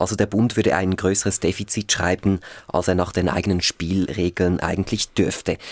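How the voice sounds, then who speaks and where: A man speaks at a moderate pace in a fairly low voice, a plain, everyday voice. The sound is dry and close, with no echo. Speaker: radio news host. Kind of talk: radio political discussion.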